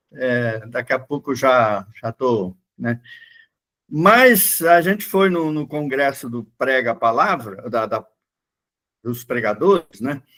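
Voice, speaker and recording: A man's medium-pitched, bright, sharp voice with lively intonation and long, frequent pauses. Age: 60s. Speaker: pastor. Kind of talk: Bible class lecture. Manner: casual, halting with fillers.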